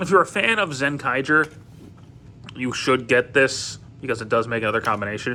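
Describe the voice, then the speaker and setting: A man mumbles at a moderate pace, his medium-pitched voice carrying a bright, sharp tone. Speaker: toy reviewer. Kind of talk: product review. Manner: halting, many fillers; mumbling.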